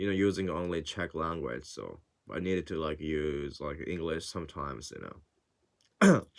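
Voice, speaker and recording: Speaking with a strong non-native accent, a man's very deep, low voice shows vocal fry and fairly even intonation. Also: moderate pace. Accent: non-native English, thick. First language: not English. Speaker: language learner and vlogger. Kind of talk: casual vlog monologue. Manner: halting, many fillers.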